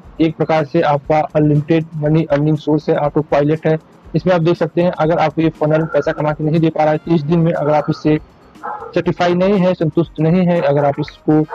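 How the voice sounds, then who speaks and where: A man speaks at a moderate pace in a monotone, flat intonation with very even loudness. Faint music plays in the background, and the sound is dry with no echo. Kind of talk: tutorial sales commentary. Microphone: webcam.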